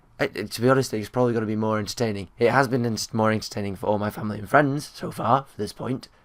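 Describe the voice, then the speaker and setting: A man's medium-pitched voice with a British accent, a very fast pace, fairly even intonation and big swings in loudness. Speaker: vlogger and gamer. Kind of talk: casual talk to camera.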